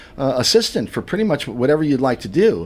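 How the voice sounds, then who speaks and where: Over noticeable background noise, the speaker rushes along at a very fast pace with lively intonation. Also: man. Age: 60s. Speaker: community radio host. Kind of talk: casual studio chat. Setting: radio studio. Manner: halting, many repetitions.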